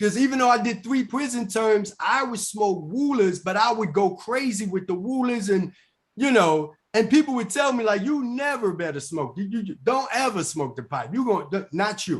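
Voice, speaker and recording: Delivered at a moderate pace with lively intonation, the voice has an animated tone and a New York accent. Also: man, high pitch for a man. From New York, Bronx. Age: 40s. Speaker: recovering addict and author. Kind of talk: casual interview testimony. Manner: animated, repetitive stammering.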